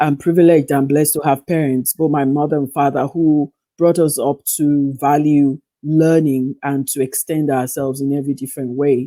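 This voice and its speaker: With an American accent, a woman speaks at a moderate pace in a very deep, low pitch and a monotone, flat intonation. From western Nigeria, Yoruba. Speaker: psychotherapist and writer. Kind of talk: interview.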